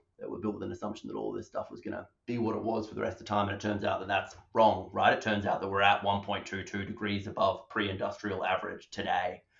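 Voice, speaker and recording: Speaking fairly quickly, a man talks with an Australian accent. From Western Australia (Perth). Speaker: public health doctor. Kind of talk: interview.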